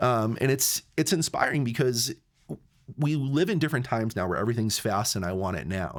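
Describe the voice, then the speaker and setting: Very clean, with a silent background, the recording has a man speaking at a very fast pace with lively intonation. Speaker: filmmaking podcast host. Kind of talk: casual chat.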